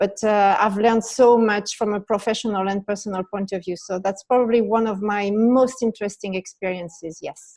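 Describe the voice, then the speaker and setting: A woman speaks in a French accent at medium pitch and a fairly quick pace, with hardly any pauses. Her intonation is fairly even, and the sound is dry and close with no echo. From France. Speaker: business leader. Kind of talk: interview.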